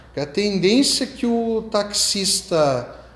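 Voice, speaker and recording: A man is speaking amid noticeable background noise. Room echo is audible. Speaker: pastor. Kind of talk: sermon.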